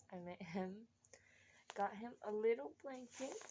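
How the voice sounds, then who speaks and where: A woman speaks quietly at a moderate pace and a fairly high pitch. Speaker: family vlogger, expectant mother. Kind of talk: casual unboxing vlog. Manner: animated, excited; hushed to avoid waking child.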